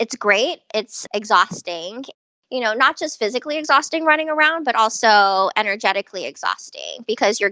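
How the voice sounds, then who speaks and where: Her pitch is fairly high, with lively intonation. The woman speaks at a moderate pace. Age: 40s. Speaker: yoga teacher, former investment banker. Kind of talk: interview.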